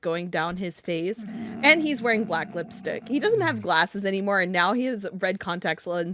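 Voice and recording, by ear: The speaker reads aloud in a natural voice with lively intonation.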